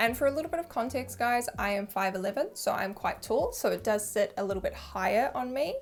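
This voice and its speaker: A woman talks at a fairly quick pace. She has a New Zealand accent. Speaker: fashion YouTuber. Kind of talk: product review vlog. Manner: casual, chatty.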